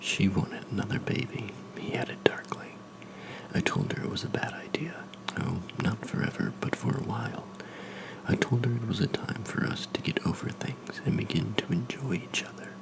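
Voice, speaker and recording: A man whispers in a calm tone at a moderate pace. Noticeable background noise is present. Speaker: ASMR creator, new to making videos. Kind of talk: narration of a horror story, first-person. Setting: recorded with a Blue Yeti USB microphone. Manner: calm, measured, soft-spoken.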